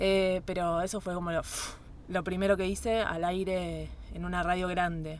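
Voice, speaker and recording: A woman with a Rioplatense accent, fairly low in pitch, monotone and flat, at a moderate pace. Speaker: radio announcer and journalist. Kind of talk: interview conversation. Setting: studio.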